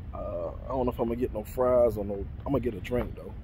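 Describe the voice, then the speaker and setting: Light background noise sits behind a man speaking at a very fast pace. The sound is dry, with no echo. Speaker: food vlogger. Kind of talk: casual vlog chat. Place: car. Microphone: phone near.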